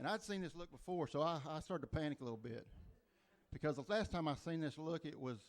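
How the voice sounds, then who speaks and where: A man talks at a very fast pace with an Oklahoma accent. His pitch is fairly high, with ordinary pitch variation. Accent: Oklahoma Southern. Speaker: stand-up comedian. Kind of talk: stand-up. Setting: comedy club stage with audience.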